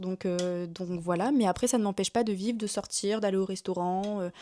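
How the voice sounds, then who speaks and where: A woman with a dark, mellow tone speaks at a medium pitch and a moderate pace on a very clean recording with a silent background. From northern France, Lille. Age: 20s. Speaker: YouTuber. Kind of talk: casual vlog chat.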